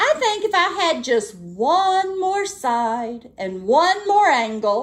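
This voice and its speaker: In a put-on character voice, the speaker moves at a very slow pace with very wide pitch swings and hardly any pauses. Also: woman, extremely high pitch for a woman. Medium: read story. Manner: grumbling.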